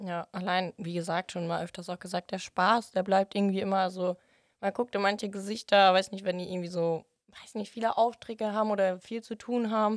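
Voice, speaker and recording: With a fairly quick pace and flat, monotone intonation, a woman at medium pitch is heard in a dry, close sound with no echo on a very clean recording with a silent background. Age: 18. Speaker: trainee at a wholesale company. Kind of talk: casual interview. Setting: studio.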